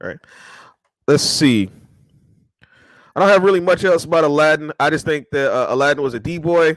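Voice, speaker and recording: Speaking at a fairly quick pace with long, frequent pauses, a man uses a fairly high pitch and ordinary pitch variation. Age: 30s. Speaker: video show host. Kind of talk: casual monologue. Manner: halting.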